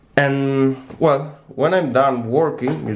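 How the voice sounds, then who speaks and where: Light background noise accompanies a man of medium pitch who speaks very slowly with ordinary pitch variation. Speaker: lockpicking hobbyist. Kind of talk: casual product review to camera. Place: kitchen. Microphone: phone near.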